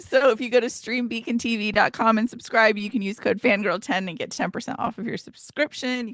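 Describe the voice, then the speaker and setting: A woman puts on a character voice, raspy and fairly high in pitch. She talks at a fairly quick pace. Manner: speaking quickly in that accent.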